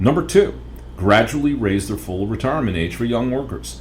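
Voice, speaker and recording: A man talks at a fairly quick pace in a fairly low pitch with very wide pitch swings, amid noticeable background noise and audible room echo. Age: 60s. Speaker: financial educator podcast host. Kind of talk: podcast monologue.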